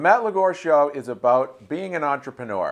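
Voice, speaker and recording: An ordinary speaking voice moves at a moderate pace against a quiet background. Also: man. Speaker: talk show host. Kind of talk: interview host talk.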